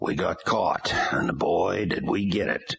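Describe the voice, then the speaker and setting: A man puts on a raspy character voice. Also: fairly slow pace. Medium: read story. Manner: dry, wry.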